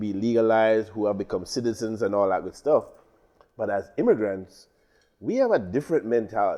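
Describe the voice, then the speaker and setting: Speaking fairly quickly with a Caribbean accent, a man uses a medium-pitched voice with a dark, mellow tone and ordinary pitch variation. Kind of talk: casual talk show chat. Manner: fast.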